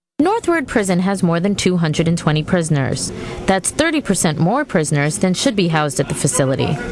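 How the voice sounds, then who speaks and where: At a fairly quick pace, a woman with a fairly low pitch and lively intonation keeps a very even loudness amid noticeable background noise. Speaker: television reporter. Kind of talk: TV news report.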